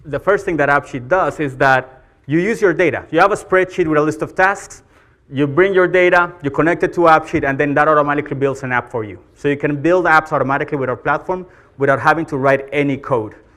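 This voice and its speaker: The voice has a bright, sharp tone and a Colombian accent, and it moves at a very fast pace. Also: man, fairly high pitch for a man, ordinary pitch variation. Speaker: marketing executive, conference speaker. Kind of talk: conference talk. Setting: stage with audience.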